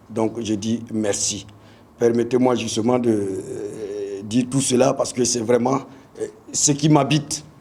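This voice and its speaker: A man speaks at a very slow pace and a medium pitch, his intonation fairly even. Audible room echo surrounds his voice. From Burkina Faso, Bobo-Dioulasso. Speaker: football coach. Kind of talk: press conference speech. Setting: press conference. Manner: halting, many hesitations and repetitions.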